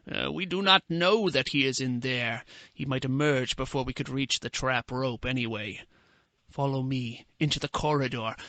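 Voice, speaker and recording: A man puts on a character voice at medium pitch, with ordinary pitch variation and a moderate pace. The sound is dry and close with no echo, over a quiet background. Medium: read story. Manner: gloating, sardonic.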